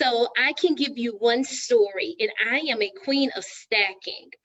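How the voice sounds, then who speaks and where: A woman with a Texan accent talks at a fairly high pitch. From Texas. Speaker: real estate agent, show host. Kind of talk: live stream panel discussion. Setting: live Facebook stream.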